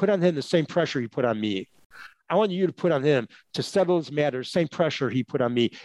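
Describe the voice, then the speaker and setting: With an American accent, a man talks at a fairly quick pace with very wide pitch swings, the sound dry and close with no echo. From US Midwest, Chicago. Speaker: employment lawyer. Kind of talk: casual interview.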